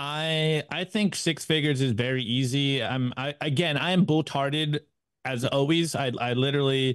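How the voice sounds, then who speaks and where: A man at a fairly high pitch, moderate pace and fairly even intonation. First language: not English. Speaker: bitcoin YouTube show host, podcast guest. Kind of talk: casual chat. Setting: video call.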